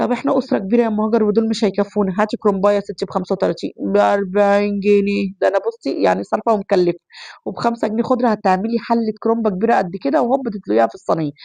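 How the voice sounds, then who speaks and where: A woman's very fast, medium-pitched speech with hardly any pauses, a dark, mellow tone and ordinary pitch variation, in a dry, close sound with no echo. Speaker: home cooking vlogger. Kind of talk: cooking tutorial. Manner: chatty.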